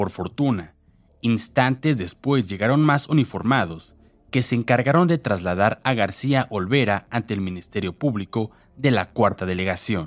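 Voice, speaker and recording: In a very clean recording with a silent background, a man with a plain, everyday voice talks at medium pitch with lively intonation. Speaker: true-crime narrator. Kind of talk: true-crime narration. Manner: grave, measured, deliberate newsreader-style delivery.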